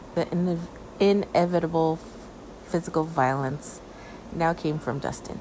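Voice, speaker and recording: A woman's moderately paced speech with fairly even intonation. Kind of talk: true-crime horror narration, reading a creepypasta aloud. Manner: slightly halting, reading aloud with small stumbles and self-corrections.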